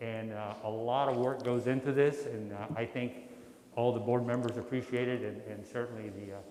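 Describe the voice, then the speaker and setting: Over noticeable background noise and audible room echo, a man speaks loudly at a moderate pace in a medium-pitched, monotone, flat voice. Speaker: workshop facilitator. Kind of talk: formal meeting remarks.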